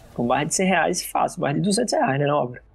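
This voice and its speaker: A man speaks in a fairly high voice with ordinary pitch variation. Music plays in the background. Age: 20s. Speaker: advertising professional and gamer. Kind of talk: casual chat.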